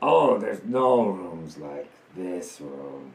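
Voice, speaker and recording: A man's put-on character voice, very deep and low, at a very slow pace. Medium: actual play. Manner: terse, halting.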